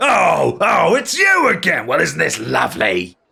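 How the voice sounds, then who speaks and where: A man delivers his lines in a put-on character voice at a moderate pace. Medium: actual play. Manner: gruff, blunt.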